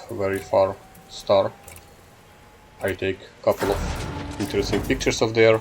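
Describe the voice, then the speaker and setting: A man with a non-native accent against noticeable background noise. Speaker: gaming YouTuber. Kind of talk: casual gameplay commentary. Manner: halting, many filler sounds.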